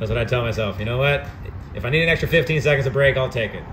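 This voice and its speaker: Noticeable background noise behind a man's voice. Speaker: fitness coach. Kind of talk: workout coaching instructions.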